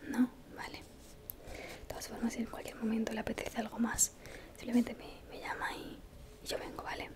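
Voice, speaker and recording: A woman whispers at a moderate pace, her loudness swinging widely. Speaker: waitress. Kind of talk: ASMR roleplay. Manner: soft-spoken. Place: home room. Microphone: studio mic.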